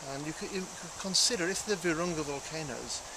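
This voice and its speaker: Over noticeable background noise and audible room echo, a man with a fairly high pitch talks at a very fast pace with ordinary pitch variation. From England. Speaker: primatologist, conservationist. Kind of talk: TV interview. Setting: outdoors by a lake in a state park. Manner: hesitant, frequent ums and uhs.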